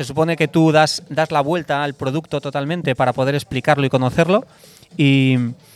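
With a dry, close sound and no echo, a man speaks fairly quickly at a fairly high pitch with fairly even intonation. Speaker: former sportswear brand director and author. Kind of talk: interview conversation. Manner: hesitant, with repeated words.

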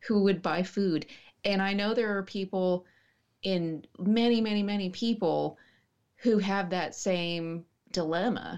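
A woman with an American accent speaks in a plain, everyday voice at medium pitch. Her pace is fairly slow, her intonation fairly even, and the background quiet. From West Texas, small town. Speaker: writer and martial artist. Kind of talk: casual interview chat.

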